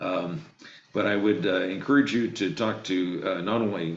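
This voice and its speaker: Male speaker at a moderate pace, ordinary pitch variation, audible room echo. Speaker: state legislator. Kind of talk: remarks to a video meeting. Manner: hesitant, many fillers.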